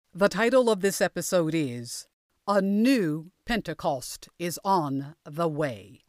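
At a very slow pace, a woman with a fairly low pitch speaks in very wide pitch swings, recorded very cleanly against a silent background with a dry, close sound and no echo. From United States. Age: 60s. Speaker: pastor. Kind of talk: sermon. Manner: formal.

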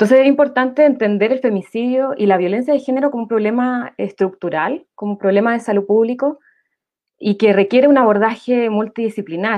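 At a fairly quick pace, a woman talks with a fairly high pitch and ordinary pitch variation. Hers is a normal speaking voice. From Santiago, Chile. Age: 30s. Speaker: nurse, graduate student and political candidate. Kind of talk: panel discussion.

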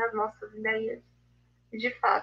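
A woman speaks at a fairly slow pace. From Blumenau, Santa Catarina, Brazil. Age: 20s. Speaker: literature reading-group mediator. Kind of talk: live video interview.

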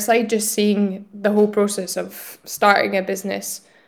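A woman speaks with a Scottish accent. Her pitch is fairly high. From Scotland. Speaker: general manager of a tech school. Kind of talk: interview conversation.

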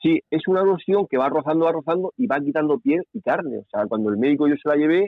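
A man talks at a very fast pace. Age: 50s. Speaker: paratriathlete. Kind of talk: interview.

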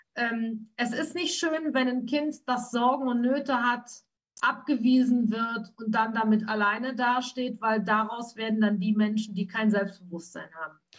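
Speaking fairly slowly, a woman uses a fairly high pitch with ordinary pitch variation. It is an ordinary speaking voice. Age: 50s. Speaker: trauma coach. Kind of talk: interview about her life.

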